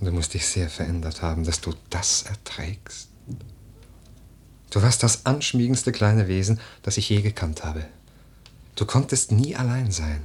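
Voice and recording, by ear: A man's put-on character voice, low-pitched with a husky, rough edge, a slightly mellow tone, lively intonation and a fairly slow pace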